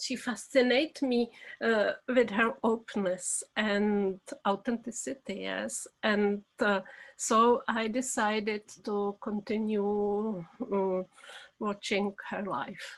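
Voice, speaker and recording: With a Czech accent, a woman speaks at a very slow pace. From Czech Republic. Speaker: documentary film director. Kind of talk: interview. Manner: halting, many fillers.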